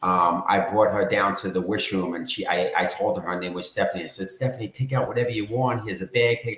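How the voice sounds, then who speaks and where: With a New York accent, a man speaks very fast at medium pitch, with ordinary pitch variation and hardly any pauses. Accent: New York accent, sometimes heard as Bostonian. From New York, Long Island. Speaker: charity founder. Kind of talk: interview.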